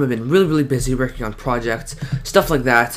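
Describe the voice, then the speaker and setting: Noticeable background noise is present. The talking moves very fast. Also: man. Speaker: video editing tutorial YouTuber. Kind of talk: screen-recorded tutorial. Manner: casual, filler-heavy.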